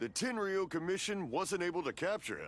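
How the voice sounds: In a cartoonish character voice, a man speaks at a high pitch with very wide pitch swings.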